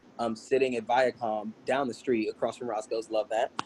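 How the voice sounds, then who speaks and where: In an American accent, a man at medium pitch speaks at a moderate pace in a dry, close sound with no echo. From US South, South Carolina and Virginia Beach. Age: 30s. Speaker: entertainer and cheerleader. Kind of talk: casual interview. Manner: animated.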